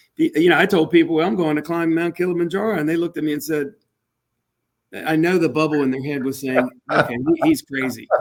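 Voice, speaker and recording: Talking at a very fast pace yet leaving long, frequent pauses, a man uses a fairly high pitch with ordinary pitch variation. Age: 60s. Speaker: leadership coach and speaker. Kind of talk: interview. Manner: halting, many fillers.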